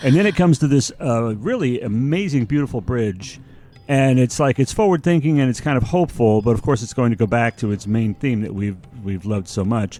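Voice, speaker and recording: With music in the background, a man talks at a fairly quick pace and a medium pitch, his intonation lively. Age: 60s. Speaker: music podcast co-host. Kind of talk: casual chat reviewing music. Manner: animated.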